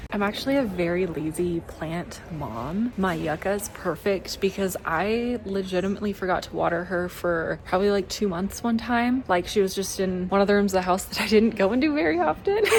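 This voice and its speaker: Over noticeable background noise, a woman speaks at a medium pitch and a fairly quick pace with hardly any pauses. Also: ordinary pitch variation. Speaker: lifestyle vlogger. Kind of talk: casual vlog talk to camera. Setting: out and about, stores and diner.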